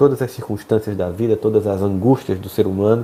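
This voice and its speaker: A man with a dark, mellow tone and a somewhat breathy voice talks at a moderate pace. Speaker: spiritual speaker. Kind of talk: live stream talk. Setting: home office, live stream.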